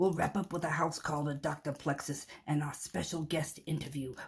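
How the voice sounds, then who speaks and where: At a moderate pace and middle pitch, this raspy, cartoonish character voice comes through. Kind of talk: variety show host patter. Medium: puppet show.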